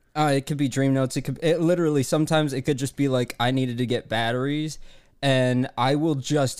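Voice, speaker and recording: Over a very clean recording with a silent background, a man speaks in an unremarkable speaking voice at medium pitch with fairly even intonation. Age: 20s. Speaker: comedy advice podcast co-host. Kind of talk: casual chat.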